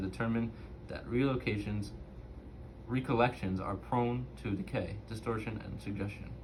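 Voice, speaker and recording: A man with a fairly low pitch talks with audible room echo around him. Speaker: student doing a reading assignment. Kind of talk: reading aloud. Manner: halting, self-correcting.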